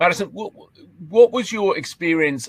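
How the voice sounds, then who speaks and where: A man speaks at a moderate pace. His pitch swings very widely. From England. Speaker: professor. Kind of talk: panel Q&A.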